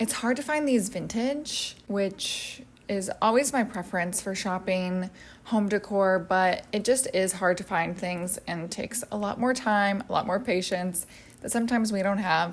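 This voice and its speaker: Soft-spoken delivery at a moderate pace, with ordinary pitch variation. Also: woman. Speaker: home decor youtuber. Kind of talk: casual product haul chat. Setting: at home.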